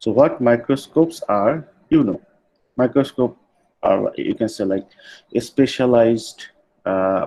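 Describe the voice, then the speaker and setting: A man speaks at a fairly slow pace with a Bengali accent. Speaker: university lecturer. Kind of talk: lecture. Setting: online class. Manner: halting, many fillers.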